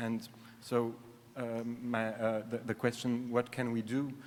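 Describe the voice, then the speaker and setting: Speaking with a French accent, a man talks at a fairly slow pace. His pitch sits in the medium range. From France (Paris). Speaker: conference audience member asking a question. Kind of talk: Q&A question. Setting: conference hall. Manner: halting, many fillers.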